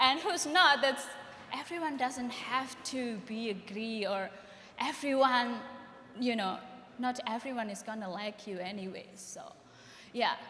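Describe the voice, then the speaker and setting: A woman with a high pitch speaks at a fairly slow pace with long, frequent pauses and big swings in loudness, with audible room echo. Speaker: panelist, photographer or artist. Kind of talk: panel discussion.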